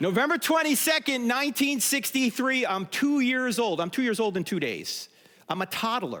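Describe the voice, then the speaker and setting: A man's extremely high pitch in an animated tone, with a New Jersey accent, lively intonation and a moderate pace. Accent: New Jersey American. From US Northeast, New Jersey. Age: 60s. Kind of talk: conference talk. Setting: stage with audience.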